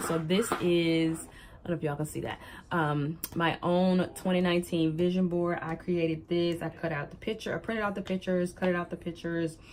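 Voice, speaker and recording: At a moderate pace, a woman with a Southern US accent speaks in a fairly low voice with fairly even intonation. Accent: Southern twang. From US South, Alabama. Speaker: planner vlogger, life coach. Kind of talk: show-and-tell vlog. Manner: chatty, hesitant with many ums.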